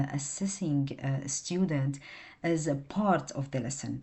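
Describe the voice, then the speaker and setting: A woman speaks with a non-native accent. Her pitch is very deep and low, with ordinary variation. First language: not English. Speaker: student presenting coursework. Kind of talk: class presentation. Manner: halting, many fillers.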